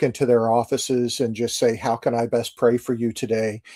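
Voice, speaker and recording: The speaker has an American accent and a dark, mellow tone at a moderate pace. The recording is very clean, with a silent background. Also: man. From US Midwest, St. Louis, Missouri. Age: 60s. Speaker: Navy chaplain. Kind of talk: interview.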